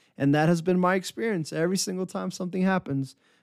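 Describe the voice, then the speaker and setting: A man with a high voice speaks at a fairly quick pace with ordinary pitch variation. The sound is dry and close with no echo, recorded very cleanly against a silent background. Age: 20s. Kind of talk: devotional monologue. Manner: animated.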